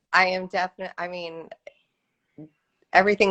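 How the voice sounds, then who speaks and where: The sound is dry and close, without echo. A woman does the talking. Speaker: professional bodybuilder. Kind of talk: interview. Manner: soft-spoken; hesitant.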